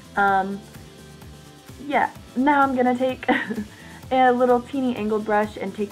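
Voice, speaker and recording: Music sits in the background as a woman speaks at a moderate pace with ordinary pitch variation. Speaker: beauty vlogger. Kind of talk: makeup tutorial voice-over. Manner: casual, chatty.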